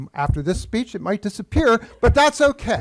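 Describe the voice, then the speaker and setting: Speaking with an American accent, a man swings his pitch very widely. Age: 70s. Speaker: public commenter, local artist. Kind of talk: public comment at council meeting. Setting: council chambers.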